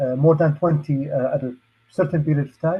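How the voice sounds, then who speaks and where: In an Arabic accent, a man talks at a fairly quick pace. His fairly high, somewhat breathy voice shows ordinary pitch variation. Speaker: safety trainer and hazmat expert. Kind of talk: lecture. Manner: hesitant, many fillers.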